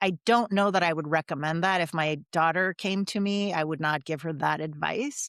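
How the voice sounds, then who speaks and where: A woman with a plain, everyday voice, fairly low in pitch with ordinary pitch variation, at a moderate pace with hardly any pauses, in a dry, close sound with no echo. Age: 60s. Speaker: guest author, former business developer. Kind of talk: interview testimony.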